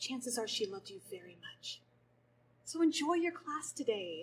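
High-pitched woman's voice with big swings in loudness. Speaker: stage actor. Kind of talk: scripted dialogue in a play scene. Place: stage. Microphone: camera far.

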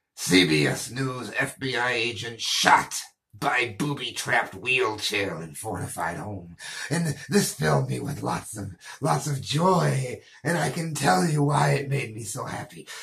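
In a put-on, raspy character voice, a man growls menacingly at a fairly slow pace and medium pitch. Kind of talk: comedy news reading. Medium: role play. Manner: menacing, mocking.

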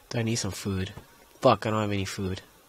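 A man talks very fast at a fairly low pitch with ordinary pitch variation. The sound is dry and close with no echo, though background noise is noticeable. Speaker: gamer. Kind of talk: gameplay commentary. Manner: loud, screaming; animated.

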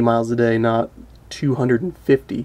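A man talks in a dark, mellow tone. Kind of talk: casual show-and-tell commentary. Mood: amused, slightly rueful. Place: home room. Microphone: phone near.

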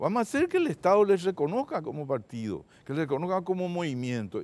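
At a fairly quick pace, a man talks with a high pitch that moves in very wide swings. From northern Paraguay (Concepción); Paraguay. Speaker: supreme court judge. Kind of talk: TV interview. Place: studio. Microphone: lapel.

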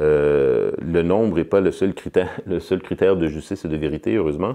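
In a quiet background, a man with a dark, mellow tone speaks at a fairly slow pace. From Quebec, Montreal. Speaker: political science professor; political science professor, interviewee. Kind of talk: interview. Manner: halting, with many repetitions and fillers. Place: studio.

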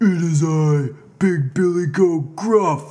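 A man puts on a character voice at a fairly high pitch. He speaks at a very slow pace. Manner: shouting.

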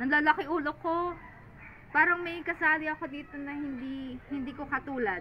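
A woman's high voice at a moderate pace, with ordinary pitch variation and big swings in loudness, over light background noise. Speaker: online seller of crystals. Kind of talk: live selling stream; casual vlog chat. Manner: animated. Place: garden. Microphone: phone near.

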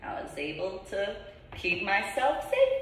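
A woman with an American accent at a very slow pace, very wide pitch swings and audible room echo. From New Jersey, US. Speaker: video blogger and ordained reverend. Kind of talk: monologue vlog. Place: home room. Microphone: camera far.

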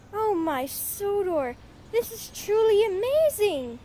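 A put-on character voice, female-sounding and extremely high-pitched, with very wide pitch swings, a fairly slow pace and clear background noise. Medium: audio drama. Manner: excitable, indignant.

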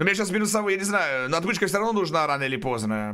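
Against a quiet background, a man talks at a very fast pace in a bright, sharp tone, fairly high in pitch with very wide pitch swings. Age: 30s. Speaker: video game streamer. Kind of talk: live stream gameplay chat. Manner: stutter; casual, animated. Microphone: studio mic.

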